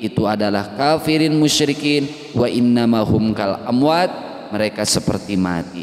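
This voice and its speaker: Over noticeable background noise, a man speaks with a West Javanese accent at a fairly slow pace. His pitch shows ordinary variation. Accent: Sundanese. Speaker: Quran tafsir teacher. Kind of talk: religious lecture.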